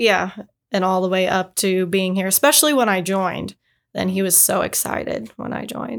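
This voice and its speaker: With an American accent and an ordinary speaking voice, a woman speaks at a moderate pace in a medium pitch with lively intonation, on a very clean recording with a silent background. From Indiana. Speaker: Air Force Reserve member. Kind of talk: casual interview chat.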